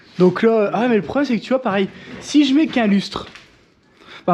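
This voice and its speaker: Fairly quick male speech over noticeable background noise. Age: 30s. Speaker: home renovation vlogger. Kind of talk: casual vlog narration.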